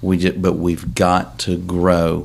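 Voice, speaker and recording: A man with an American accent speaks in a very deep, low voice with vocal fry and ordinary pitch variation. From West Virginia, Cabell County. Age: 50s. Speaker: political candidate and realtor. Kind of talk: casual interview.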